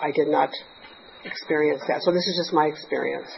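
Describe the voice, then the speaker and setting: A woman's monotone, flat intonation comes through noticeable background noise. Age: 60s. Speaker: 12-step meeting speaker. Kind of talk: testimony. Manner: halting.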